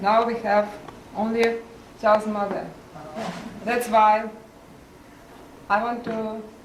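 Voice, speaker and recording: A woman talks fairly slowly at a fairly high pitch, monotone and flat. Noticeable background noise and audible room echo fill the recording. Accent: Russian. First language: Russian. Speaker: family member giving a toast. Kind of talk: birthday toast. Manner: halting.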